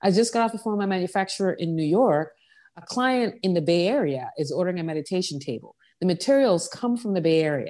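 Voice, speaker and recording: A woman with an American accent speaks at a very fast pace and a medium pitch, with lively intonation and a dark, mellow tone. The recording is very clean, with a silent background. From US Virgin Islands, Saint John. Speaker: furniture designer. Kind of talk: interview.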